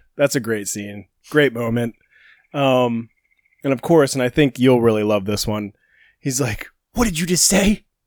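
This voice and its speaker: A medium-pitched man at a moderate pace, with ordinary pitch variation, long, frequent pauses, and a dry, close sound with no echo. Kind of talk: casual chat.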